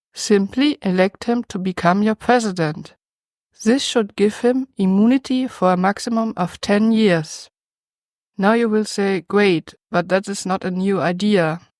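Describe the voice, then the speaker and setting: The recording is very clean with a silent background and a dry, close sound with no echo. A woman of medium pitch speaks at a fairly slow pace. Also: ordinary pitch variation. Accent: German. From Germany. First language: German. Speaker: YouTube commentator. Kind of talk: scripted commentary.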